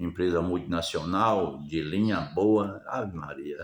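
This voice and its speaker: This is a man speaking. His pace is fairly slow. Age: 70s. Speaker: retired vlogger. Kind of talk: improvised monologue. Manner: halting, repetitive.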